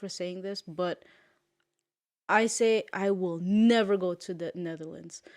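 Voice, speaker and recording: With a Curaçao accent, a woman speaks at a medium pitch with ordinary pitch variation in a very clean recording with a silent background. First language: Papiamento. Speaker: podcast co-host. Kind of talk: casual chat. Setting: home studio on a couch.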